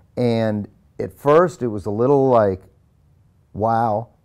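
A man's medium-pitched voice with ordinary pitch variation, an ordinary speaking voice. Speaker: actor. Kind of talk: interview answer.

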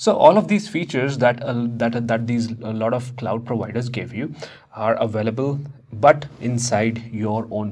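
With fairly even intonation, a man keeps to a moderate pace. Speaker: instructor. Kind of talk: lecture. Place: studio. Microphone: lapel.

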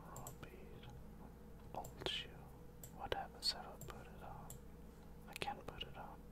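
Loud noise dominates the background. Through it, a man can be heard talking. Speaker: gamer. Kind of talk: ASMR gaming commentary, whispered while playing a video game. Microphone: studio mic.

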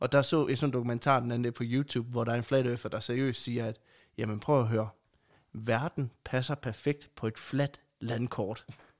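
A moderate pace and monotone, flat intonation in a very clean recording with a silent background. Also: man, medium pitch for a man. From Denmark, central Jutland (Aulum). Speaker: podcast co-host. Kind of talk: casual chat.

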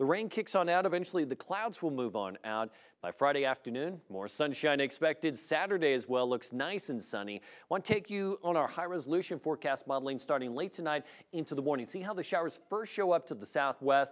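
A man speaks fairly quickly against a quiet background. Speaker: TV meteorologist. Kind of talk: weather report. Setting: TV studio. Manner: brisk, clear and conversational, like a TV weather broadcast. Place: studio.

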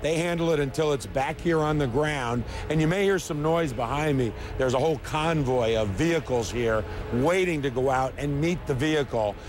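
At a moderate pace and with ordinary pitch variation, the voice comes through with a dry sound, no echo, and noticeable background noise. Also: man, fairly high pitch for a man, very even loudness. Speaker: field reporter. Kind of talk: live news report. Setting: outdoors. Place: open country.

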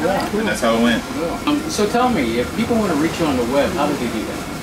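A man speaks with ordinary pitch variation. There is noticeable background noise. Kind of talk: interview answer. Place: shop. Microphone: handheld.

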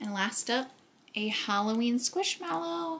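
Here a woman speaks in a somewhat breathy voice. Her pace is moderate. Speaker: thrift haul vlogger. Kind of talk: casual vlog chat. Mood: pleased, enthusiastic. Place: kitchen. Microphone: camera far.

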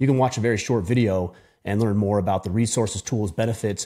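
Against a quiet background, a somewhat breathy man speaks at a fairly quick pace in a fairly low pitch with ordinary pitch variation. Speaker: podcast host. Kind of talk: solo podcast monologue. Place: studio. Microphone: studio mic.

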